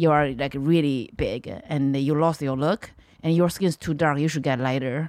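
A woman with a Chinese accent speaks at a very deep, low pitch with fairly even intonation and a moderate pace. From China. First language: Mandarin Chinese. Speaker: comedian. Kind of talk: casual chat.

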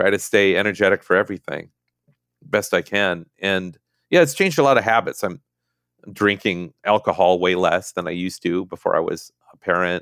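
In a very clean recording with a silent background and a dry, close sound with no echo, a man with an American accent uses a normal speaking voice at a fairly low pitch and fairly quick pace, with ordinary pitch variation. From Minnesota. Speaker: novelist. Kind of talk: interview.

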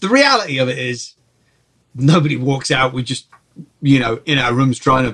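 In a London accent, a man speaks at a medium pitch. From Czech Republic (Prague), then England. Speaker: film and TV composer. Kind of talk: casual interview.

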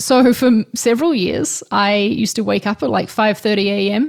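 A woman speaks at a fairly slow pace with a New Zealand accent and a fairly high pitch. The recording is very clean, with a silent background. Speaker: designer and YouTuber. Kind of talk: interview.

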